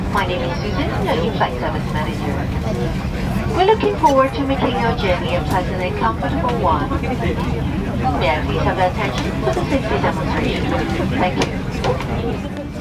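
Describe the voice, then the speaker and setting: Crowd noise runs in the background as the speaker goes at a moderate pace with long, frequent pauses. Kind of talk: PA announcement. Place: plane.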